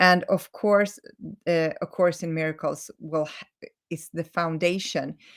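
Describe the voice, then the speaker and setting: In a very clean recording with a silent background, a woman with a Swedish accent speaks at a fairly slow pace and fairly low pitch, her intonation monotone and flat but her loudness swinging widely. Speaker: holistic healing coach. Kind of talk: live stream talk. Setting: live video stream. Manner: halting, many self-corrections.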